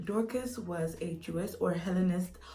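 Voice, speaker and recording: With audible room echo around her, a woman speaks at a fairly low pitch with ordinary pitch variation. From Zimbabwe. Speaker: YouTuber. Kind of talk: casual Bible teaching vlog. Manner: hesitant, frequent ums.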